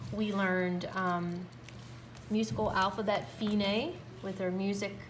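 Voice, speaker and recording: Recorded with audible room echo, a woman talks at a fairly slow pace in a medium pitch, somewhat breathy and with lively intonation. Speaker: music teacher. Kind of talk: tutorial. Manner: animated.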